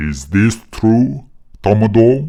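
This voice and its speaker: A man speaks softly at a medium pitch in a put-on character voice. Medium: read story. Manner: gentle, unhurried.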